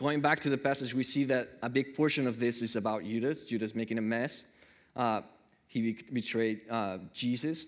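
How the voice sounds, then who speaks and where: A man with a non-native accent talks at a moderate pace in an animated tone. His pitch is medium, and the recording is very clean with a silent background. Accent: noticeable foreign. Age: 30s. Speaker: preacher. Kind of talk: sermon. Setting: church.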